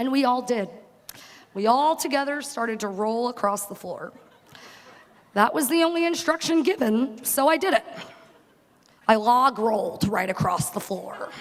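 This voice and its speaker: Against noticeable background noise, a high-pitched woman with a Long Island accent speaks in very wide pitch swings with long, frequent pauses. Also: moderate pace. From working class Long Island. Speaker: graduating student speaker. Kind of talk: commencement speech. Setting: stage with audience.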